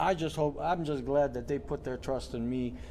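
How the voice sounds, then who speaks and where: The voice has a dark, mellow tone and ordinary pitch variation. It moves at a moderate pace with audible room echo. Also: man. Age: 60s. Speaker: boxing coach. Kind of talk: casual interview. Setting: boxing gym.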